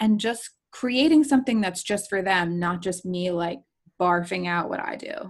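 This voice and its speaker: A woman's unremarkable speaking voice with an American accent, medium in pitch, moderate in pace and lively in intonation. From New Jersey shore. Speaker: photographer and business coach. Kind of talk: casual chat. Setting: video call.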